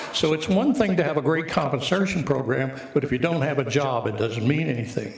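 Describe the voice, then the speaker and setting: A man talks at a moderate pace in a fairly high pitch with ordinary pitch variation. Noticeable background noise and audible room echo surround the voice. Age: 80s+. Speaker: resident speaking at public comment. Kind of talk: public comment at council meeting. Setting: city council meeting.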